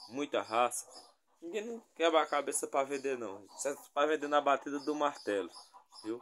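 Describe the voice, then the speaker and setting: Over light background noise, a man talks at a moderate pace. His intonation is lively. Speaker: livestock channel host. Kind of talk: casual sales commentary. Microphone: phone near.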